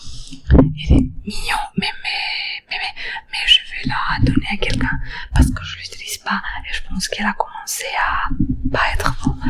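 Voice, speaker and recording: Over noticeable background noise, a woman whispers at a fairly slow pace with big swings in loudness. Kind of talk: ASMR. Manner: chatty, rambling.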